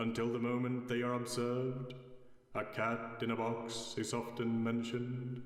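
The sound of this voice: This is an unforced reading voice. The delivery stays unforced throughout.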